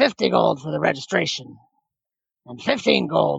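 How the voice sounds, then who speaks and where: A man puts on a raspy, gruff character voice. His pitch is very deep and low, at a moderate pace. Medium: actual play. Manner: gruff, curt.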